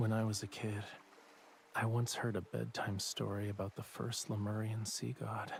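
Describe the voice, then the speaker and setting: In a calm tone, a man speaks at a moderate pace with a fairly low, somewhat breathy voice and flat, monotone intonation. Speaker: game character narrating a legend. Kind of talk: in-game voiced dialogue. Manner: calm storytelling delivery.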